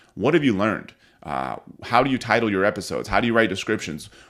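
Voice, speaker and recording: A man talks at a very fast pace with a medium pitch, lively intonation and vocal fry. The recording is very clean, with a silent background. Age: 30s. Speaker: podcast host and entrepreneur. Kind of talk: solo podcast monologue.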